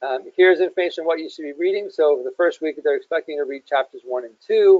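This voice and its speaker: The man's loudness rises and falls sharply as he races along at a very fast pace. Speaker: program manager running an online orientation. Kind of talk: online orientation walkthrough. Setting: online webinar. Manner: casual, with many fillers.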